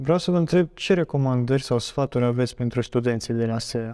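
A man's dark, mellow tone at a moderate pace, with ordinary pitch variation and a quiet background. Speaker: student podcast host. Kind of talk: interview. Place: studio. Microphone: lapel.

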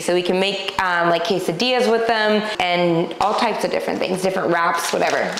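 A woman speaks with fairly even intonation. Audible room echo and light background noise are present. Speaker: grocery haul host. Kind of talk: casual vlog chat. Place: kitchen. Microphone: lapel.

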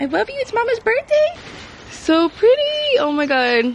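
Animated and lively in intonation, a woman speaks at a moderate pace. The sound is dry with no echo, over light background noise. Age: 20s. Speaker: vlogger. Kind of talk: casual vlog talk.

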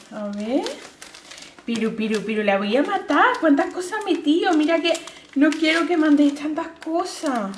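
Light background noise sits behind a woman with a high pitch. She speaks at a very slow pace with lively intonation. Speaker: vlogger. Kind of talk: casual vlog chat, unboxing. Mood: delighted, excited exclamations. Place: home room.

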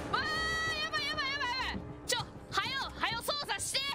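Loud background noise surrounds a woman speaking with a Kansai accent. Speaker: virtual streamer. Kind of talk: casual gaming livestream commentary. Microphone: studio mic.

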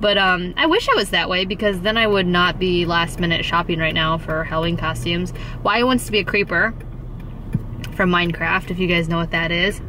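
In a plain, everyday voice, a woman talks at a fairly quick pace with a fairly low pitch, fairly even intonation and very even loudness, the sound dry with no echo over light background noise. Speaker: family vlogger. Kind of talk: casual vlog chat. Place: car. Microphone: phone near.

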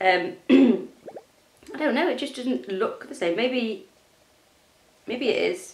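Very slowly and with long, frequent pauses, a woman speaks at a high pitch with very wide pitch swings and audible room echo. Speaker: gaming youtuber. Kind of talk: gameplay commentary. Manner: casual, chatty.

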